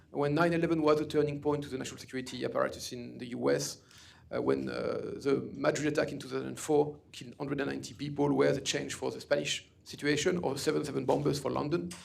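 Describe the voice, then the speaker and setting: A man with a French accent talks at a very fast pace, with audible room echo. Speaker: author and security expert. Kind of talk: lecture.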